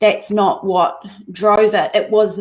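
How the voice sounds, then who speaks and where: We hear a woman. She speaks at a fairly high pitch. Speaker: spiritual life coach. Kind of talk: interview. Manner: fast talker.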